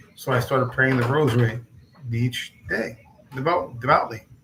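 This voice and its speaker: Through noticeable background noise, a man of medium pitch talks at a moderate pace. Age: 60s. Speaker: religious channel host. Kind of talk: casual personal talk to camera. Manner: halting, many fillers.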